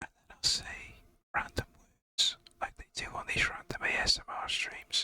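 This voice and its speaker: A whispering man at a moderate pace, with big swings in loudness. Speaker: video game streamer. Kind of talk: live game stream chat. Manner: quiet, near whisper; halting, repeats words.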